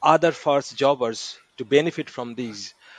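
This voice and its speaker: In an Indian accent, a man speaks at a very slow pace. His intonation stays fairly even. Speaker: podcast host, training academy founder. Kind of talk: podcast interview. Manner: many fillers, halting.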